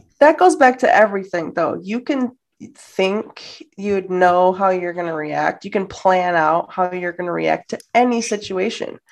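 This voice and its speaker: A woman talks at a fairly slow pace with a Midwestern American accent. Her pitch is medium, with ordinary variation, over a quiet background. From Detroit area, Michigan, US. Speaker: travel podcast co-host. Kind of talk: casual interview chat. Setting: video call.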